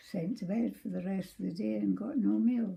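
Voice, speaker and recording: A woman with a Scottish accent, her lively intonation carried by a dark, mellow tone, somewhat breathy. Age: 80s+. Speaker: former orphanage resident. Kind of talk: interview answer.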